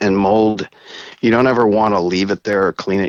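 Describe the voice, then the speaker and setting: This man's voice sits fairly low with monotone, flat intonation. He moves at a fairly quick pace. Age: 50s. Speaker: nonprofit founder. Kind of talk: interview.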